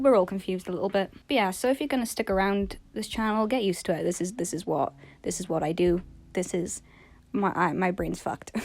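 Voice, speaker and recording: A quiet woman speaks at a very fast pace and medium pitch, with ordinary pitch variation. The recording is very clean, with a silent background. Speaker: art YouTuber. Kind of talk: casual vlog monologue. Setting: recording in bed at home. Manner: quiet, low-energy; rambling, halting.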